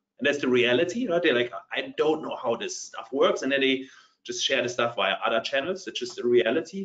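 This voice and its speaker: A man with a German accent talks at a fairly quick pace. His pitch is fairly high and his intonation lively. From Germany. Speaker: partner tech company leader. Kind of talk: panel discussion.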